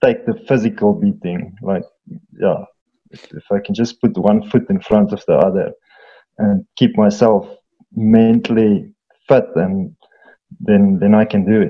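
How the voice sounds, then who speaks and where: In a South African accent, a man speaks at a fairly slow pace. He leaves long, frequent pauses. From Eastern Free State, South Africa. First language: Afrikaans. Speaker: farmer and mountain guide. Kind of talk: casual chat. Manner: halting.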